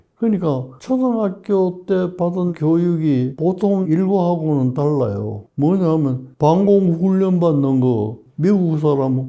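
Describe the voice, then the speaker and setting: Fairly high in pitch, this man's voice has a dark, mellow tone and ordinary pitch variation. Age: 80s+. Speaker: retired professor, doctor. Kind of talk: interview answer.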